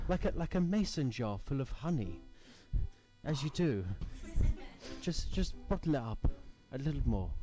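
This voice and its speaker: A man puts on a strained character voice, fairly high in pitch, at a moderate pace. Long, frequent pauses break up his lines over music in the background. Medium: stage play. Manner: restrained, understated.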